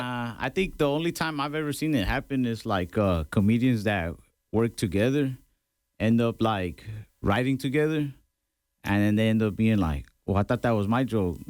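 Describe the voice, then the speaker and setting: A man speaks at a moderate pace and a medium pitch, with lively intonation and long, frequent pauses. The recording is very clean, with a silent background. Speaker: stand-up comedian. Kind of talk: interview answer.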